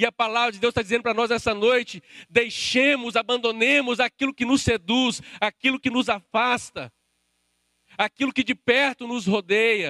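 Speaking in a Brazilian accent, a man uses a raised, projected voice at an extremely high pitch, with a bright, sharp tone, fairly even intonation, a moderate pace, and a dry, close sound with no echo. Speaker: preacher. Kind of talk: sermon, preacher in full flow, pressing the congregation with direct appeals. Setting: church with a live congregation, also streamed online. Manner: impassioned, urgent, emphatic; addresses listeners directly, rising intensity.

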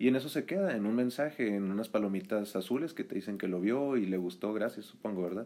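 Here a man with a fairly low pitch and a dark, mellow tone speaks at a very fast pace. He barely pauses, and his pitch varies in an ordinary way. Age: 20s. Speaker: communication student. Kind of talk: casual chat.

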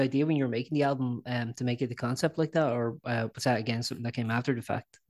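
Here a man with an Irish accent talks at a very fast pace with hardly any pauses, a medium pitch and ordinary pitch variation. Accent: Irish, noticeable. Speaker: podcast host and website editor. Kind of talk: interview. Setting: video call. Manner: halting, many fillers.

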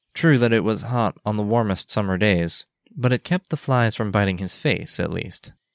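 Ordinary pitch variation in a natural reading voice, the background quiet.

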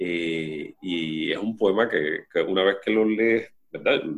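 This man's fairly low voice moves with fairly even intonation. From Puerto Rico (Collores). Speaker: poet and museum director. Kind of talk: interview. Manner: halting.

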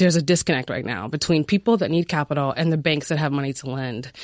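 A woman's lively intonation in a dry, close sound with no echo and a quiet background. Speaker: startup founder. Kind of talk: pitch.

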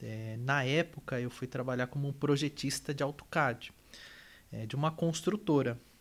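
Recorded very cleanly against a silent background, a man with a plain, everyday voice speaks slowly-ish at a fairly slow pace, his fairly high pitch kept in fairly even intonation. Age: 30s. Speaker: energy company manager and engineer. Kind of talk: interview.

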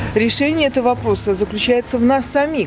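A woman's voice over noticeable background noise. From Belarus, Gomel. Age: old. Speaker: street interview respondent, pensioner. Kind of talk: street interview. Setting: outdoors in a park.

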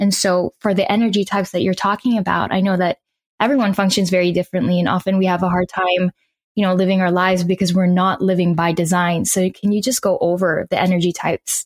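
Speaking at a very fast pace, a woman with a medium-pitched, somewhat breathy voice keeps very even loudness and monotone, flat intonation, recorded with a dry, close sound and no echo. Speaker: podcast host. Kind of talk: casual interview.

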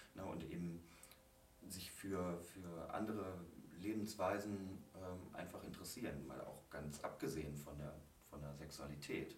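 Over noticeable background noise and audible room echo, a man talks at a fairly slow pace. His voice is very deep and low, with ordinary pitch variation. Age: 30s. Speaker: guest sharing personal experience. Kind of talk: casual interview.

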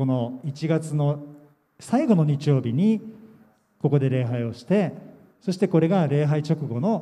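A man's somewhat breathy, dark and mellow voice at a fairly high pitch, lively in intonation, with long, frequent pauses. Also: fairly slow pace. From Japan, Yokohama. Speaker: pastor. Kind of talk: sermon. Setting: church camp gathering.

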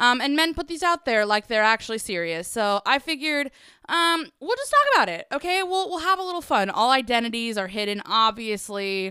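Bright, sharp and animated, a woman's high-pitched voice moves at a fairly quick pace with very wide pitch swings. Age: 20s. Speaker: podcast host. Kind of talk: casual solo chat. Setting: home garage studio. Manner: animated, laughing often.

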